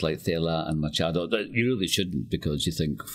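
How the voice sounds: The speaker has a West of Scotland accent. The pace is fairly quick. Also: man.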